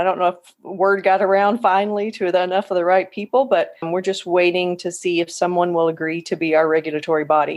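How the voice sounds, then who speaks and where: With a slight Southern US accent, a woman rushes along at a very fast pace with hardly any pauses, her medium pitch fairly even in intonation while her loudness swings widely. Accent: slight Southern US twang. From Oklahoma, US. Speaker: physician associate. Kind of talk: podcast interview. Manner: casual, conversational.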